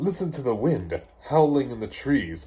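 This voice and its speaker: A man in a put-on character voice, fairly high-pitched, at a moderate pace. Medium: read story. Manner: teasing.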